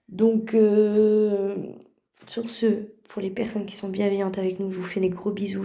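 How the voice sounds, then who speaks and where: Her pace is very slow and her pitch medium. The woman's tone is dark and mellow, her intonation monotone and flat. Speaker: vlogger and mother. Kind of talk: casual vlog address to viewers.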